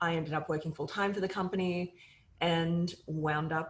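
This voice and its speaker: Somewhat breathy speech comes at a moderate pace with monotone, flat intonation. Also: woman. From Australia. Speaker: media company CEO. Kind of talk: interview.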